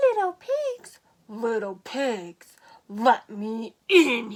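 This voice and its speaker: Using a put-on character voice, a woman growls at a very slow pace in a fairly high pitch. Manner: growling, hungry.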